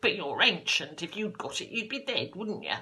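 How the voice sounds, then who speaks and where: Someone speaks in a put-on character voice at a moderate pace, the pitch fairly high. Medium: stage play. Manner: coarse, contemptuous.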